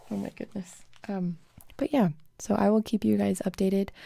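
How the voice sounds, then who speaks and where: A woman speaks at a medium pitch and a fairly slow pace. The recording is very clean, with a silent background. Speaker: live streamer. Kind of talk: casual chat. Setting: live stream. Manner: loud.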